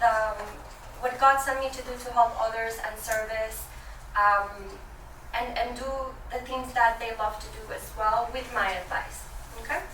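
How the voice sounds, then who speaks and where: Through noticeable background noise and audible room echo comes a woman's fairly high voice with fairly even intonation. Her loudness swings widely, and she pauses long and often. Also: moderate pace. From Venezuela. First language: Spanish. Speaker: business banker. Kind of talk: presentation to business owners. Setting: room with live audience. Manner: hesitant, many fillers.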